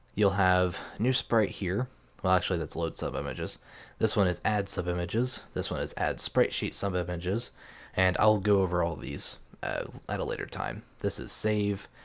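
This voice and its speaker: Quiet speech at a moderate pace with ordinary pitch variation comes through on a very clean recording with a silent background. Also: man, very deep, low pitch for a man. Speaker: game development tutorial maker. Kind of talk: tutorial. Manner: quiet, keeping voice down; hesitant, many fillers.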